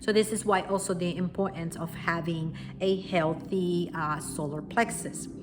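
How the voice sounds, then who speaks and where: With a strong Puerto Rican accent, a woman speaks at a fairly low pitch and a moderate pace, her intonation fairly even, amid noticeable background noise. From Puerto Rico. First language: Spanish. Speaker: spiritual wellness teacher. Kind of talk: talk to camera, teaching. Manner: unscripted, with fillers and self-corrections.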